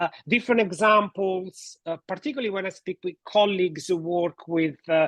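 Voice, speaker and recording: With hardly any pauses, a high-pitched man speaks at a moderate pace and ordinary pitch variation. The sound is dry and close, with no echo. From Italy. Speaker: relationship therapist and podcast host. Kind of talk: podcast interview.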